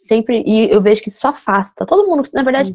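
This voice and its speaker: A woman with a dark, mellow tone speaks at a fairly quick pace. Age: 30s. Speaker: entrepreneur and social media creator. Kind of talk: casual chat.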